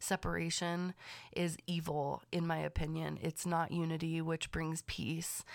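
Speaking at a fairly slow pace, a woman with a fairly low pitch keeps her intonation monotone and flat and her loudness very even. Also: very clean recording, silent background. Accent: Californian. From US West Coast, Los Angeles County. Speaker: podcast host and manifestation coach. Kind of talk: casual solo monologue. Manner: chatty, laughs often.

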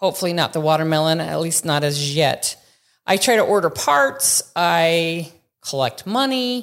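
A woman with a plain, everyday voice speaks at a fairly slow pace and a fairly low pitch in a very clean recording with a silent background. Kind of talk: casual interview.

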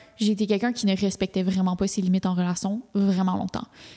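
A woman talks at a fairly quick pace. Her voice sits at a medium pitch with a dark, mellow tone. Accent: Quebec. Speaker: podcast co-host. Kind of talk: casual chat. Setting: studio.

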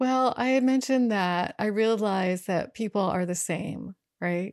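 A woman's normal speaking voice with an American accent, medium pitch, ordinary pitch variation and a moderate pace, the sound dry and close with no echo. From US South, rural North Carolina. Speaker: adventure travel writer and motorcyclist. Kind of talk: interview.

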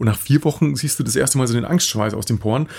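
A man's very fast, somewhat breathy speech, medium in pitch, with lively intonation and a dark, mellow tone. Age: 40s. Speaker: business founder and podcast co-host. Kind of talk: casual interview chat.

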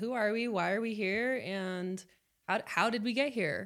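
A woman with an American accent and a plain, everyday voice speaks at a moderate pace, with medium pitch and lively intonation. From Las Vegas, US. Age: 20s. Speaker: podcast host, accountant. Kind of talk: casual chat.

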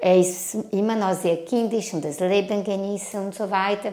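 A woman with a Portuguese accent speaks at a medium pitch and a very slow pace. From Brazil. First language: Portuguese (speaking German). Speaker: immigrant interviewee. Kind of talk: interview.

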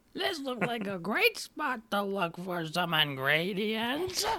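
At a fairly slow pace, someone uses a put-on character voice pitched fairly high. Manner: slow, drawn-out.

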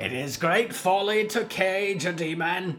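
A man puts on a croaky character voice with a high pitch. He speaks at a fairly slow pace. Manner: ominous, threatening.

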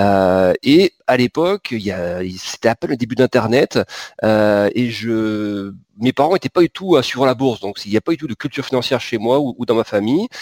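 A man's medium-pitched voice at a moderate pace, with lively intonation, in a very clean recording with a silent background and a dry, close sound with no echo. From southern France, Pyrenees. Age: 40s. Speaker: market analyst. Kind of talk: interview. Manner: halting, many repetitions and fillers.

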